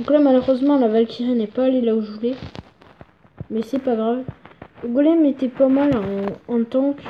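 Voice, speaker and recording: Noticeable background noise accompanies a woman with a high pitch. She uses fairly even intonation with long, frequent pauses. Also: moderate pace. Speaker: gaming YouTuber. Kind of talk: gameplay commentary.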